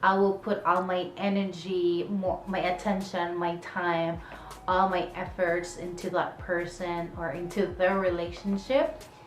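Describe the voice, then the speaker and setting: In a Filipino accent, a woman of medium pitch speaks fairly slowly with monotone, flat intonation, amid noticeable background noise and audible room echo. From Philippines. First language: Tagalog. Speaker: vlogger. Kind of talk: casual Q&A vlog.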